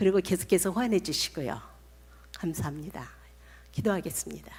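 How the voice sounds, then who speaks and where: At a fairly quick pace, a woman talks with lively intonation and vocal fry. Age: 70s. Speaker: missionary. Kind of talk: sermon. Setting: church.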